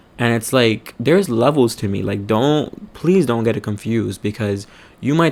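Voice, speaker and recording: An animated male voice at medium pitch, with ordinary pitch variation. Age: 20s. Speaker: vlogger. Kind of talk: personal storytelling vlog. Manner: animated, many fillers.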